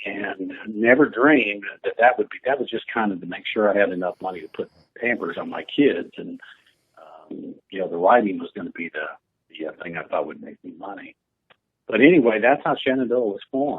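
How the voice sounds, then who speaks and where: Talking at a fairly quick pace with an American accent, a man shows big swings in loudness. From northern Illinois (Quad Cities). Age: 60s. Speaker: retired country musician. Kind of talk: interview.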